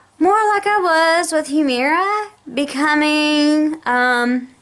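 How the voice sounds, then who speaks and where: Her pitch swings very widely as this woman talks at a very slow pace. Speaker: vlogger with chronic illness. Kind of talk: casual vlog rant. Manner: slurred words.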